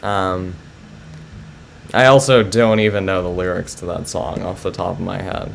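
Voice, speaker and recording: A man with a very deep, low pitch talks at a moderate pace. He pauses long and often, and the room echo is audible. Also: ordinary pitch variation. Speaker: chess streamer. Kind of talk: live stream chat with viewers. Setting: live stream. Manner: hesitant, many fillers.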